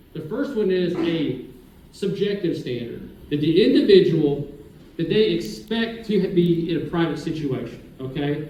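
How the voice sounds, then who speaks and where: Loud and lively in intonation, this voice with an American accent carries audible room echo. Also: man. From Oklahoma (Skiatook). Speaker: city attorney, former prosecutor. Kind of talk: public presentation to city council workshop. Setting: council chamber with audience, microphone. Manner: casual, conversational.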